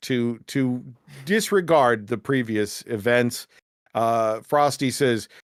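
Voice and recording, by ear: Against a quiet background, someone is reading aloud. They do so in a natural voice.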